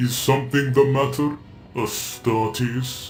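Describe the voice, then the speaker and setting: A man puts on a character voice at medium pitch, speaking fairly slowly. His intonation stays monotone and flat, with clear background noise. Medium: audio drama. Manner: calm, authoritative, formal.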